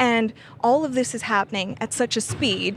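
Against noticeable background noise, a woman speaks with a Canadian accent. Her pitch is fairly high and her intonation fairly even. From Canada. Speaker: energy policy analyst. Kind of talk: interview. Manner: halting, many fillers and restarts.

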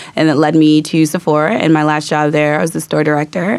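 A woman with an American accent, very deep, low pitch and a very fast pace. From US South. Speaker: graduating MBA student. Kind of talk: studio interview. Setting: studio with live audience.

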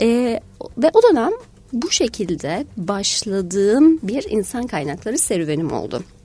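At a fairly high pitch, a woman talks at a fairly slow pace with very wide pitch swings. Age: 40s. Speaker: human resources director. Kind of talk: radio interview. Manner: many hesitation fillers.

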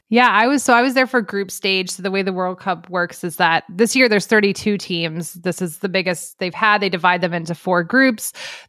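This is an unremarkable speaking voice at a fairly quick pace with hardly any pauses and ordinary pitch variation. The recording is very clean, with a silent background. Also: woman, medium pitch for a woman. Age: 40s. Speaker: sports journalist. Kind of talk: casual chat.

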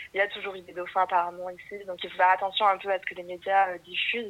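Speaking at a fairly quick pace, a woman uses a medium-pitched voice. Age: 20s. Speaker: guest on confinement podcast. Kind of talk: casual chat.

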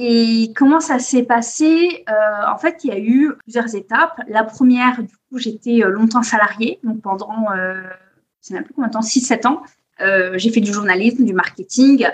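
A woman with a normal speaking voice talks at a fairly slow pace and a fairly high pitch, with hardly any pauses and ordinary pitch variation. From Corsica. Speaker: copywriting agency founder. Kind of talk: podcast interview. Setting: at family home in Corsica.

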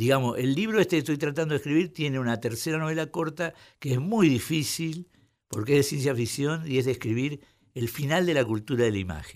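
A man with a Rioplatense accent speaks at a fairly quick pace, fairly high in pitch, with lively intonation, in a very clean recording with a silent background. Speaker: writer and literary critic. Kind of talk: radio interview.

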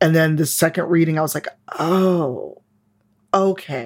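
A woman speaks in a plain, everyday voice with a fairly low pitch. Her pace is moderate and her intonation fairly even. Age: 40s. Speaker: game designer and diversity advocate. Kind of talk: casual chat.

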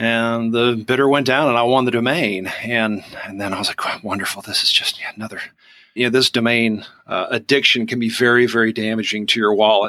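Someone with a Southern US accent speaks at a fairly quick pace in a bright, sharp tone with fairly even intonation. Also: man. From Georgia, US South. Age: 40s. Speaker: onion e-commerce business owner. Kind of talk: casual interview chat.

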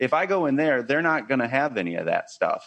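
Against a quiet background, a man with an American accent speaks at a fairly quick pace and medium pitch in an ordinary speaking voice, with a dry, close sound with no echo. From Ohio, US Midwest. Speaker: podcaster and content creator. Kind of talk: casual interview chat.

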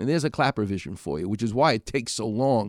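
In an animated tone, a man talks with a New York accent. The recording is very clean, with a silent background. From New York, Far Rockaway (Queens). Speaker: radio host and orthopedic surgeon. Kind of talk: radio talk show monologue. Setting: radio studio.

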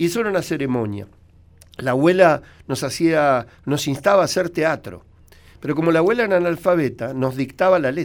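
A man with a plain, everyday voice speaks at a fairly quick pace, his fairly high pitch carried by lively intonation. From Argentina, Buenos Aires. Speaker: veterinarian and radio commentator. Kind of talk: radio interview, storytelling.

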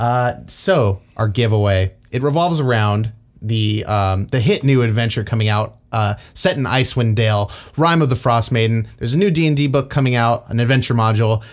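Here a man has a normal speaking voice at medium pitch, with ordinary pitch variation. He keeps a moderate pace and very even loudness. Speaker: podcast host. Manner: joking, bantering.

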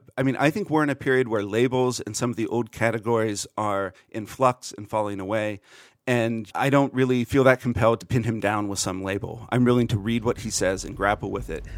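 A man with a Pennsylvania accent, medium pitch, fairly even intonation, a fairly quick pace and hardly any pauses, in a very clean recording with a silent background. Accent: American, Pennsylvania. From central Pennsylvania. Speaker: podcaster and political commentator. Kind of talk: interview discussion.

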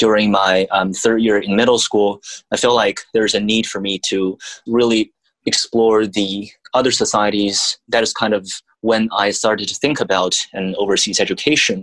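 A man's fairly low-pitched, monotone delivery at a moderate pace, dry and close with no echo. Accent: Chinese. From China. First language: Mandarin Chinese. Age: young. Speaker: student. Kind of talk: interview.

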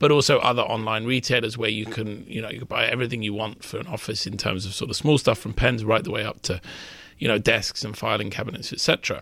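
This man speaks very fast in a British accent. His tone is bright and sharp, with ordinary pitch variation. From United Kingdom. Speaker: M&A reporter. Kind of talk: interview about business deals. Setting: studio.

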